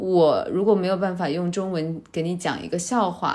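The woman's voice is fairly low with a dark, mellow tone and fairly even intonation. Audible room echo surrounds it. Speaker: podcast host. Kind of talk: casual chat.

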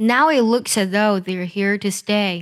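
A woman with an American accent on a very clean recording with a silent background. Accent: American-leaning English when reading. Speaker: English singing teacher. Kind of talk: tutorial.

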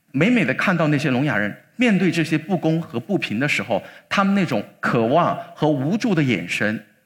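This man's voice sits fairly high, with vocal fry and very wide pitch swings. His loudness stays very even, and his pace is moderate. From Chongqing, China. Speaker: lawyer. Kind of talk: public talk.

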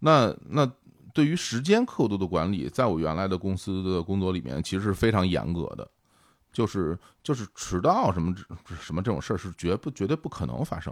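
A man with a very deep, low pitch speaks at a fairly quick pace with very wide pitch swings, on a very clean recording with a silent background. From Beijing, China. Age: 40s. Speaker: podcast co-founder and host. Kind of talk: casual interview conversation.

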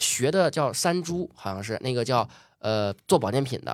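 An animated tone with very wide pitch swings on a very clean recording with a silent background. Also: man. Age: 20s. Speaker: entrepreneur. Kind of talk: interview.

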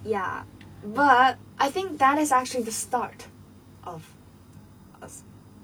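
A woman with a Chinese accent speaks at high pitch in a bright, sharp tone with lively intonation. Her pace is very slow, with long, frequent pauses and big swings in loudness. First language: Mandarin Chinese. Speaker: student. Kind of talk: casual chat; reading aloud.

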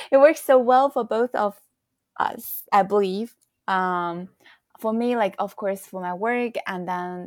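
With a Chinese accent, a woman talks at a fairly slow pace, her voice dry and close with no echo in a very clean recording against a silent background. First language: Mandarin Chinese. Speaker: podcast host. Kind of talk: casual chat. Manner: halting.

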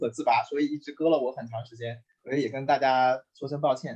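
This man talks at a fairly quick clip in a dark, mellow tone. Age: 30s. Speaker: podcast host, game industry. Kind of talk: casual chat.

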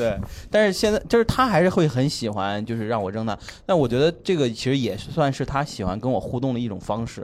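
Very wide pitch swings at a fairly quick pace. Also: man, medium pitch for a man. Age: 30s. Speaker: stand-up comedian and father. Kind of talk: casual chat. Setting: stage with live audience.

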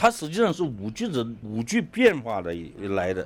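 A man at a fairly slow pace with very wide pitch swings, on a very clean recording with a silent background. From Lichuan, Enshi, Hubei. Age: 60s. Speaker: folk culture researcher. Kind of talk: interview.

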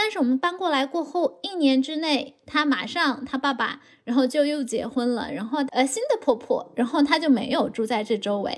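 With a high pitch and lively intonation, a woman speaks at a moderate pace. She leaves hardly any pauses. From China, Chengdu. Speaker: high school teacher. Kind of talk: casual chat.

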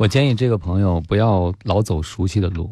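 A man with a very deep, low pitch talks at a moderate pace, his dark, mellow tone somewhat breathy. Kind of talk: radio advice show. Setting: studio.

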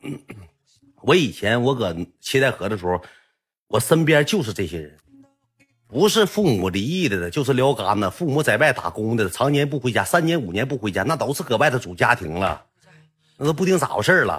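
A man with a Northeastern Chinese accent at a medium pitch, fairly quick pace, very wide pitch swings, and long, frequent pauses, with music in the background. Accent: Northeastern Mandarin. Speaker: storyteller. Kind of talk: casual storytelling monologue. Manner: animated.

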